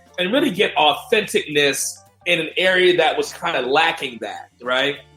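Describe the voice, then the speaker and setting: Over music in the background, a man with a high pitch speaks at a moderate pace with ordinary pitch variation. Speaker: podcast host. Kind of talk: casual podcast talk. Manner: upbeat, enthusiastic.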